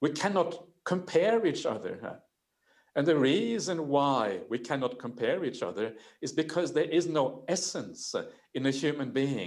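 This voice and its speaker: Swinging very widely in pitch, a man speaks in a fairly high register. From Norway. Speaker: Buddhist monk and panelist. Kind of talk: panel discussion talk. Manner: hesitant, frequent uh fillers.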